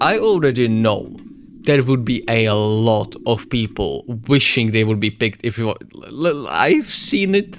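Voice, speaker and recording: A speaker with a Czech accent talks over noticeable background noise. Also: man. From Czech Republic. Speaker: YouTuber reading game lore. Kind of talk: reading aloud with reactions.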